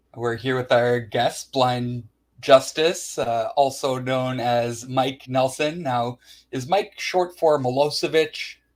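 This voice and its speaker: Very slowly, the speaker talks in a strong Canadian accent with ordinary pitch variation. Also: man, medium pitch for a man. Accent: thick Canadian. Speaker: interviewer. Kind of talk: interview.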